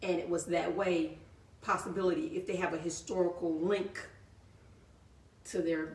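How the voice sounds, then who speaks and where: A woman with an American accent speaks at a moderate pace in a fairly low pitch, her intonation fairly even, with long, frequent pauses and audible room echo. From US South, Georgia (Thomasville). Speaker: author, photographer and historian. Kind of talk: interview on live show.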